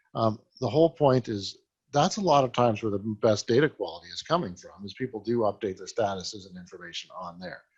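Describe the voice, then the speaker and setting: Speaking at a very fast pace, a man with a medium-pitched, somewhat breathy voice uses lively intonation and big swings in loudness. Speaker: software company president presenting a webinar. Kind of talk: product presentation webinar.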